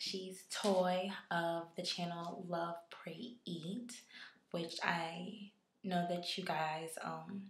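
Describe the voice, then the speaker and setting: At a very slow pace, a woman speaks in a fairly low, somewhat breathy voice with fairly even intonation. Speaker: YouTuber giving relationship advice. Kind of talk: vlog.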